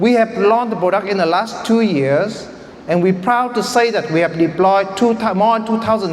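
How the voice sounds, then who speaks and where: A man with a Vietnamese accent talks at a moderate pace, high in pitch with ordinary variation. Noticeable background noise and audible room echo come through. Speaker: startup founder. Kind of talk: pitch presentation.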